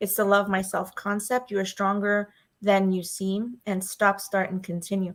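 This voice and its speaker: In a New York accent, a woman speaks at a moderate pace and medium pitch with monotone, flat intonation. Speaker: fan podcast host. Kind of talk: casual chat.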